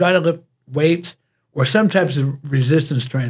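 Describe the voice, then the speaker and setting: This man has an American accent. His voice is somewhat breathy. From US. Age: 70s. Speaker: fitness coach. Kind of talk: interview.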